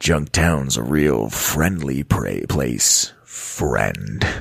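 A man puts on a character voice. His pitch is very deep and low, and his pace is very slow. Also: ordinary pitch variation. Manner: mean, menacing.

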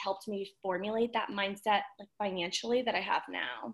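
A woman with a plain, everyday voice and a fairly high pitch talks at a moderate pace. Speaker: physical therapist and wellness influencer. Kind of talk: casual chat.

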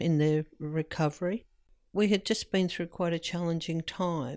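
A woman with an Australian accent and monotone, flat intonation, on a very clean recording with a silent background. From Australia, New South Wales. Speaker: health service manager and volunteer. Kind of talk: interview recollection.

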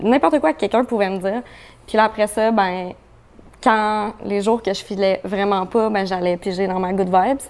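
Against a quiet background, an unremarkable speaking voice talks at a moderate pace with ordinary pitch variation. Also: woman, medium pitch for a woman. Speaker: pop rock musician. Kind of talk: casual chat.

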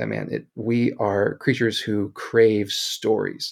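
This man has an American accent. His recording is very clean, and the background is silent. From US Midwest, Kansas City. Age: 30s. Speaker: school teacher and author. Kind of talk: casual interview. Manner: hesitant, many fillers.

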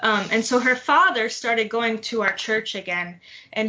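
A woman with an American accent uses a normal speaking voice at a fairly high pitch. She goes at a fairly slow pace with fairly even intonation. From Detroit, Michigan. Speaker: fiction writer and PhD student. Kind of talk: casual panel discussion.

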